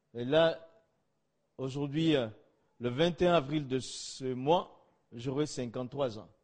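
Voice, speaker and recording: Very slow speech from a man at a fairly high pitch, with ordinary pitch variation. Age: 50s. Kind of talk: testimony.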